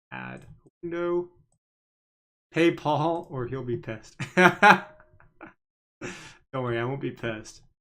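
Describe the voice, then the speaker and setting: With big swings in loudness and lively intonation, a man with a fairly high pitch speaks at a very slow pace, leaving long, frequent pauses. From Canada. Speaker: stock market livestreamer. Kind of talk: live stream commentary. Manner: casual, filler-heavy.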